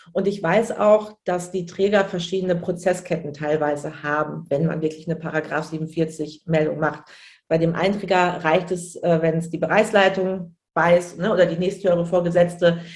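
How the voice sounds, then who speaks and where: A woman with a fairly low pitch speaks in a normal speaking voice at a moderate pace, with fairly even intonation and hardly any pauses. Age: 30s. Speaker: childcare manager and trainer. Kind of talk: casual interview.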